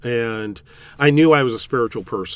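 A man with a West Coast US accent speaks at a moderate pace on a very clean recording with a silent background. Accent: General American (West Coast). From California. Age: 60s. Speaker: priest. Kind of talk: interview.

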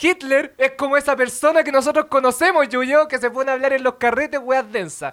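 A man with a Chilean accent and an extremely high pitch talks at a fairly quick pace with hardly any pauses and fairly even intonation, the sound dry and close with no echo. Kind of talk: comedic debate; casual chat.

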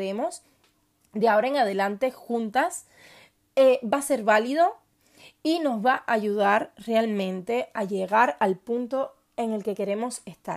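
A woman's fairly high voice at a fairly slow pace, ordinary pitch variation, on a very clean recording with a silent background. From Cuba. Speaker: podcast host. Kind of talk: personal monologue. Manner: hesitant with fillers.

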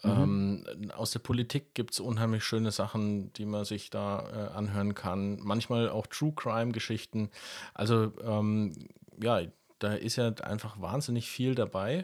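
A man with a fairly low pitch talks at a fairly slow pace, his intonation fairly even. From Lower Franconia, Germany (Karlstadt). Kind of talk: casual podcast conversation.

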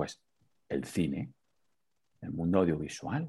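A man at a moderate pace in a very clean, dry, close recording with a silent background and no echo. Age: 40s. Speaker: entrepreneur and amateur marathon runner. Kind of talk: interview. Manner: halting, frequent repetitions.

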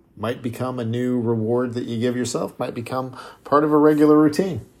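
A man with a plain, everyday voice speaks fairly quickly at a medium pitch with ordinary pitch variation. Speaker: fitness podcast host. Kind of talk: solo podcast monologue.

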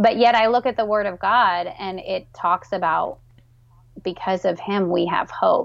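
A woman speaks at a fairly slow pace in an unremarkable speaking voice, her pitch medium with ordinary variation. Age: 30s. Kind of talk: interview.

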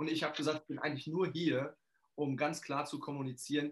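A man speaks at a moderate pace with an energetic tone. His voice is fairly high, somewhat breathy and shows ordinary pitch variation. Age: 40s. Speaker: financial coach and trainer. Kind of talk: interview.

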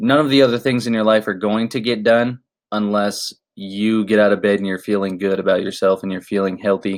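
On a very clean recording with a silent background, an unremarkable speaking voice keeps a moderate pace and fairly even intonation. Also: man. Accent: American. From Florida. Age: 20s. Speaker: fitness podcaster, former marine. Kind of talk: casual monologue.

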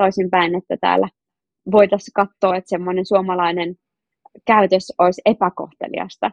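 A woman talks at a fairly quick pace in a normal speaking voice. Her pitch sits in the medium range. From Finland, North Karelia. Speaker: social media influencer. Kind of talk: interview.

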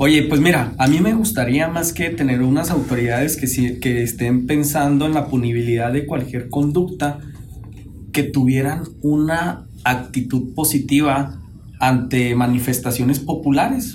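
An animated, somewhat breathy voice at a fairly slow pace, with ordinary pitch variation and audible room echo. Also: man, fairly high pitch for a man. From Chihuahua, Mexico. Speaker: podcast co-host. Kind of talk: casual panel discussion. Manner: animated, slangy.

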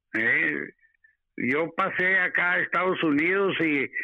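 This man's voice shows ordinary pitch variation. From Mexico (Torreón, Coahuila). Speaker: host's father, guest. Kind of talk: interview, personal storytelling.

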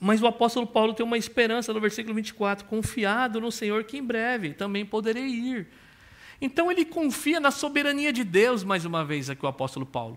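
A man's high-pitched voice with a Brazilian accent, fairly quick pace and lively intonation. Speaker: pastor. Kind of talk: sermon.

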